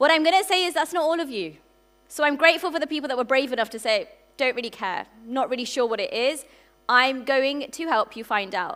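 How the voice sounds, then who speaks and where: In a British accent, a woman talks fairly quickly with a high, bright and sharp voice, lively intonation and an animated tone. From UK. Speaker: entrepreneur and conference speaker. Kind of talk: conference keynote talk. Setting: stage with audience. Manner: fast when passionate; animated, engaging the audience.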